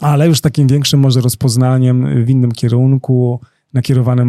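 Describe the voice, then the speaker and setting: Speaking at a fairly quick pace, a man has a medium-pitched voice with a dark, mellow tone. His intonation is monotone and flat, and the sound is dry and close with no echo. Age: 40s. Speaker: coach, dancer and choreographer. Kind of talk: interview.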